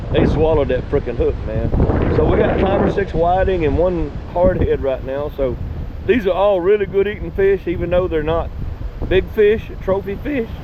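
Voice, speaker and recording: A high-pitched man with a Texan accent, moderate pace, ordinary pitch variation and noticeable background noise. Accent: Texan Southern US. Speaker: fishing vlogger. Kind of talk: casual outdoor vlog narration. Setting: outdoors on the beach.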